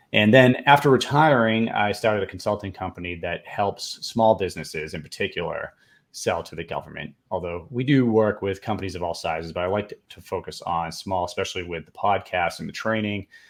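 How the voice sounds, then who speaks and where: On a very clean recording with a silent background, a man with a Boston accent and fairly low pitch speaks at a fairly quick pace with hardly any pauses, ordinary pitch variation and big swings in loudness. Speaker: government contracting consultant, Air Force veteran. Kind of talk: podcast interview.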